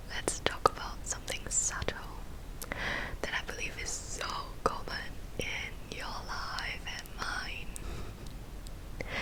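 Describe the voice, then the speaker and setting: A woman whispering in a gentle tone at a very slow pace, with big swings in loudness and noticeable background noise. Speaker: ASMR creator and counselling psychology graduate. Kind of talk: whispered ASMR talk on mental health. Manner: whispered, soft, gentle.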